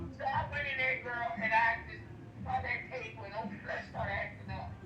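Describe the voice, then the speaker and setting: Audible room echo and noticeable background noise surround the recording. A woman talks at a moderate speed. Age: 60s. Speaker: caller. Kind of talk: testimony. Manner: animated.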